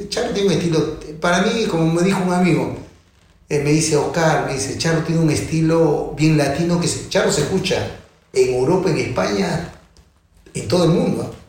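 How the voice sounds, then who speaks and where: A man with a high pitch speaks at a moderate pace with ordinary pitch variation. Audible room echo surrounds his voice. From Peru, Callao. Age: 60s. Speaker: percussionist. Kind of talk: interview.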